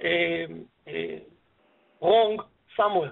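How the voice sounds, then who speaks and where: The speaker, a man, has a non-native accent. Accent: foreign. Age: 50s. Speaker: business broker. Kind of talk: web seminar presentation. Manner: halting.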